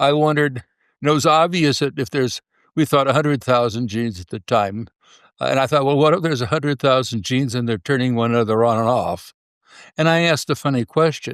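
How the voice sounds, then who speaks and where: A man talks at a very fast pace with ordinary pitch variation. The recording is very clean and silent in the background, with a dry, close sound and no echo. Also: medium pitch for a man. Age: 80s+. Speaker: complexity scientist. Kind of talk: interview. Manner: halting.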